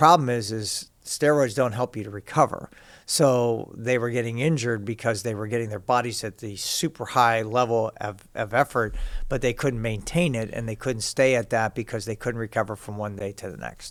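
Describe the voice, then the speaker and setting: With an American accent, a man in an unremarkable speaking voice talks at a medium pitch and moderate pace with ordinary pitch variation, on a very clean recording with a silent background. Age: 60s. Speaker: fitness coach. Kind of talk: interview.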